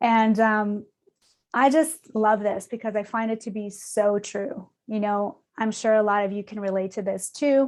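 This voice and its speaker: A woman speaks at a fairly slow pace. Her pitch is fairly high and her intonation fairly even. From Canada. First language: not English. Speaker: design operations leader. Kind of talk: conference presentation.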